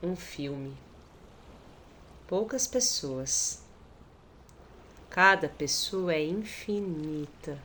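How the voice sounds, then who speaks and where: A woman with a São Paulo accent speaks at a fairly low pitch with lively intonation. Her pace is very slow, broken by long, frequent pauses. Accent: São Paulo Brazilian. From Brazil, São Paulo. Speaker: documentary participant. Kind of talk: poetic narration.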